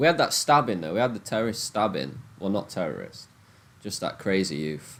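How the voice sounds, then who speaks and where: In a strong Nottingham accent, a man talks at a fairly quick pace in an animated tone, his pitch swinging very widely. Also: fairly low pitch for a man. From England, Nottingham. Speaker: gambling livestreamer. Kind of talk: casual livestream chat. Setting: live stream on laptop.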